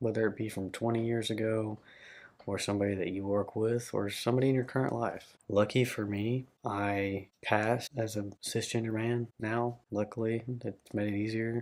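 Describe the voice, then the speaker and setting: A man's fairly low voice in a Southern US accent, with monotone, flat intonation at a moderate pace. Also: very clean recording, silent background. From Arkansas, Little Rock area. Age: 20s. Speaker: vlogger. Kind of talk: personal vlog monologue.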